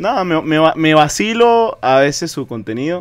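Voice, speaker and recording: Over a quiet background, a man speaks in an animated tone with very wide pitch swings. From Venezuela. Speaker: football podcast co-host. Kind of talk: casual chat. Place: studio. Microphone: studio mic.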